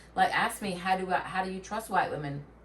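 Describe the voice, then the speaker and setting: A woman with a Southern US accent talks at a moderate pace in a medium pitch, with noticeable background noise behind her. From Tennessee. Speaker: podcast co-host. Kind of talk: casual chat.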